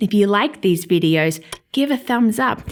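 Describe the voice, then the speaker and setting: Against noticeable background noise, a woman speaks with an Australian accent at a medium pitch. Her intonation is lively and her pace moderate. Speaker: teacher. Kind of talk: educational vlog. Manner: animated.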